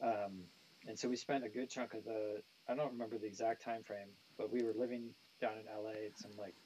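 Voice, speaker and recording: Delivered at a fairly quick pace with an American accent, the voice has a dark, mellow tone. Its intonation is monotone and flat. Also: man, medium pitch for a man. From California, US (San Jose). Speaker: nu metal bassist. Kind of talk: interview. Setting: live stream. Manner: casual, hesitant with many fillers.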